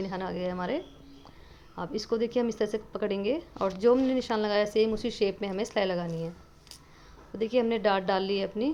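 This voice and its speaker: Medium in pitch, a woman with an ordinary speaking voice talks at a moderate pace with ordinary pitch variation. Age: 30s. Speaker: sewing teacher. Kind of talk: tutorial.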